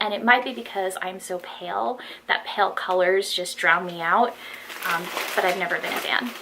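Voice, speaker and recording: The speech is shaky and comes at a moderate pace. Noticeable background noise runs underneath. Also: woman. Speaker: fashion haul vlogger. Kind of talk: casual haul video monologue. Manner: shaky voice. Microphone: no external microphone, built-in mic.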